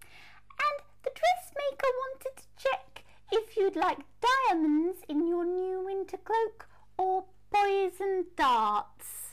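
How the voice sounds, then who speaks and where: A woman puts on a squeaky character voice at an extremely high pitch, speaking at a very slow pace. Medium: read story. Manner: nervous, eager.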